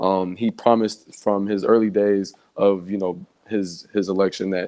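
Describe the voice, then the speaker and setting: The man's voice sits fairly low. His intonation is flat and monotone. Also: quiet background. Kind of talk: panel discussion on politics. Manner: filler-heavy, says you know often.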